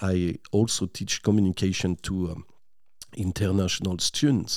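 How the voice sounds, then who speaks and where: Speaking at a moderate pace with a French accent, a man has a very deep, low voice on a very clean recording with a silent background. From northern France, near Lille. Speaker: language teacher and linguist. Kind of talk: radio interview. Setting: studio.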